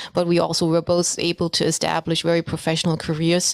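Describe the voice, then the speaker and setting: A woman talks fairly quickly at a fairly low pitch, her intonation monotone and flat. The sound is dry and close with no echo, yet noticeable background noise runs underneath. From East Germany (Dresden). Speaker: interviewer. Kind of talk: interview.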